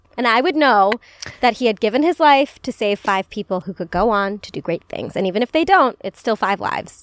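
A woman with a fairly high pitch talks at a fairly quick pace, her tone animated and her intonation lively. The sound is dry and close, with no echo. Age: 20s. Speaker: podcast host. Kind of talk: casual chat.

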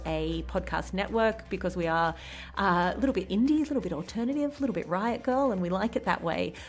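A woman talks at a fairly quick pace in an Australian accent. Music plays in the background. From rural Australia. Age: 40s. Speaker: podcast host. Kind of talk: casual chat; scripted outro.

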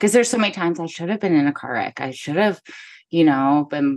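Against a quiet background, a woman with a Midwestern American accent speaks in a very deep, low voice with lively intonation. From US Midwest, northern Missouri. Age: 40s. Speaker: photographer and podcaster. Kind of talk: casual interview chat.

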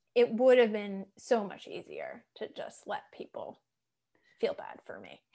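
A woman's fairly slow delivery with big swings in loudness. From Massachusetts. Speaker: podcast host and life coach. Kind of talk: casual interview chat. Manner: animated.

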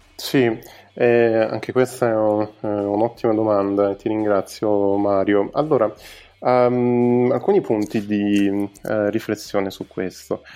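Fairly even in intonation and fairly low in pitch, a man speaks very slowly. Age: 20s. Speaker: entrepreneur and event organizer. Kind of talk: podcast interview. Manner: halting, many filler sounds.

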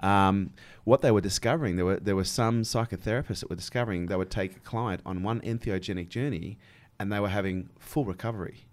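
Very fast speech from a man with an Australian accent, fairly low pitch and ordinary pitch variation, on a very clean recording with a silent background. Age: 40s. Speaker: podcast host. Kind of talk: interview. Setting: studio.

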